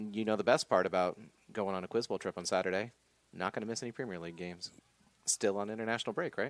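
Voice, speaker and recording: With an American accent, a man speaks very fast in a fairly low pitch with ordinary pitch variation. The sound is dry and close, with no echo. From Oklahoma. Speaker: college sports commentator. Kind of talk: live commentary. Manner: casual, conversational.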